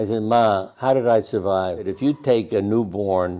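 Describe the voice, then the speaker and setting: With a New York accent and a dark, mellow tone, the speaker talks at a fairly slow pace with ordinary pitch variation. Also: man. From Brooklyn, New York. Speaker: doctor. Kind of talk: interview answer.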